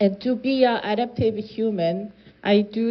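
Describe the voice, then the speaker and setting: The speaker is a woman. She talks with a Korean accent. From South Korea. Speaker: climate policy researcher. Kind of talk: lecture. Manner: halting, with self-corrections.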